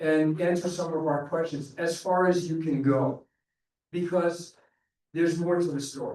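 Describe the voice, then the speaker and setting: At a moderate pace, a high-pitched man speaks with monotone, flat intonation. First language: Portuguese. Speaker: public commenter at school board meeting. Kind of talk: public comment speech. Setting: public board meeting. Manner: halting.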